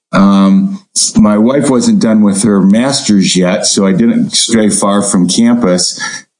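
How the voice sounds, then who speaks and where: Speaking very slowly in an American accent, a man with a fairly low pitch keeps his intonation fairly even and his loudness very even, with audible room echo around him. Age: 60s. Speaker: turfgrass researcher, professor. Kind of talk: interview.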